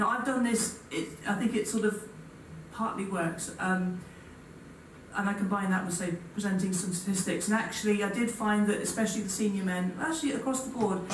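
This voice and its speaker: A woman talks at a fairly quick pace with ordinary pitch variation. Audible room echo and light background noise surround her. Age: 40s. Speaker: physics professor. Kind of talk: panel discussion. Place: hall.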